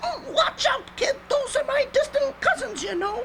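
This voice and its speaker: A cartoonish character voice is squeaky and pitched extremely high. Background noise can be clearly heard. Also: moderate pace. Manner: nervous, food-obsessed.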